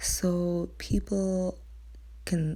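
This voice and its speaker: A woman is speaking. Her voice is quiet. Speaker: YouTuber. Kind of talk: casual vlog monologue. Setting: at home at night.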